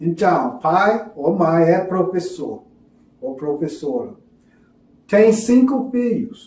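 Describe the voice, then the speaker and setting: With a non-native accent, a man speaks in a high voice with lively intonation at a very slow pace. His pauses are long and frequent, and room echo is audible. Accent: foreign accent in Portuguese, non-native. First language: English (speaking Portuguese). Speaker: religious teacher. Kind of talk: lecture. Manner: halting.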